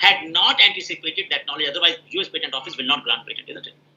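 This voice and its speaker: A man speaks with an Indian accent. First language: Hindi. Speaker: professor. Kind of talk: Q&A answer in an online scientific meeting.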